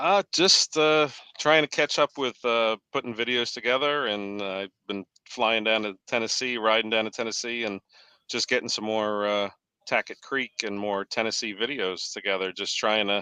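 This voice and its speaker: With an American accent, a man speaks at a moderate pace and a medium pitch, using ordinary pitch variation. His tone is bright and sharp, and the sound is dry and close, with no echo. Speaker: off-road video creator. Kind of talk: casual chat. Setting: video call with green screen.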